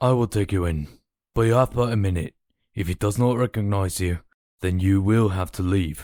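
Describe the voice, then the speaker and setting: The put-on character voice keeps a moderate pace. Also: man, fairly low pitch for a man. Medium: audio drama. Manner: formal, cold.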